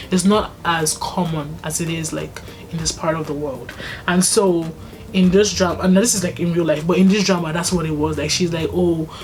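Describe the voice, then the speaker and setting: Her voice is fairly low in pitch. Audible room echo and noticeable background noise surround this woman's speech. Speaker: YouTuber. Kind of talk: casual vlog recommendation talk. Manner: fast.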